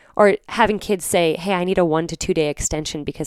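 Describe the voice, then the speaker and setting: A woman in an American accent talks at a fairly quick pace. The recording is very clean, with a silent background. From Virginia. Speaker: poet and educator. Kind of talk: interview conversation.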